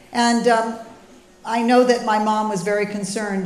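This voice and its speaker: There is audible room echo as a woman talks at moderate speed. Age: 70s. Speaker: speaker on healthy eating. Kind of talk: public talk.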